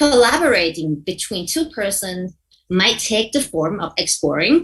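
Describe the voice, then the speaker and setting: This woman's pitch sits in the medium range. It swings very widely as she talks. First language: not English. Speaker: mediation trainer. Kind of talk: workshop lecture. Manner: halting, with repetitions and self-corrections.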